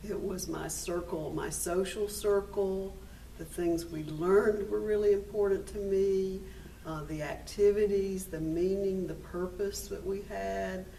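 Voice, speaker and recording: Noticeable background noise and audible room echo surround the recording. A woman speaks at a fairly slow pace. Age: 50s. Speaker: minister and AIDS care organizer. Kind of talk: personal testimony interview. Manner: hesitant with fillers.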